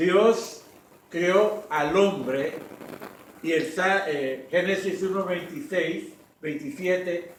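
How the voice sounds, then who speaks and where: Amid noticeable background noise and audible room echo, a man speaks at a very slow pace. His high pitch shows ordinary variation. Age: 60s. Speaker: pastor. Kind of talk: sermon.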